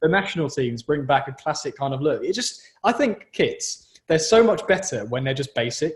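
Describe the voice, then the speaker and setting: A man with a southern English accent, fairly high in pitch, at a moderate pace with lively intonation and hardly any pauses. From southern England. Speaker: podcast host, journalism student. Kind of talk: casual chat.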